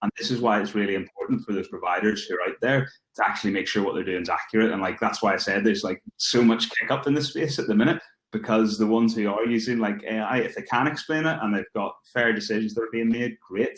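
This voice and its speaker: Here a man talks at a very fast pace. His pitch is medium, with ordinary pitch variation. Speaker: recruitment tech speaker. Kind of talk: webinar Q&A.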